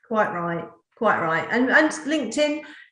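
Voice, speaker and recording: At a moderate pace, a woman with a Norfolk accent speaks in a room with audible echo. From England, Norfolk. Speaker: talk show host. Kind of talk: interview.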